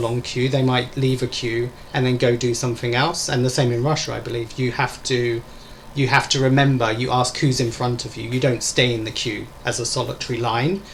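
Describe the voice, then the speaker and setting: In an Essex accent, a man speaks at medium pitch and a moderate pace. His intonation stays monotone and flat over noticeable background noise. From England, Essex. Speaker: English teacher. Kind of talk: casual chat.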